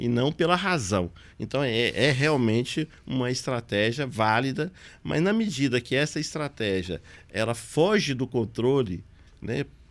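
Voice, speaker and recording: In an ordinary speaking voice, a man at medium pitch talks at a fairly slow pace with lively intonation. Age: 60s. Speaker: city councillor and pharmacist. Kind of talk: interview podcast conversation. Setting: local TV studio.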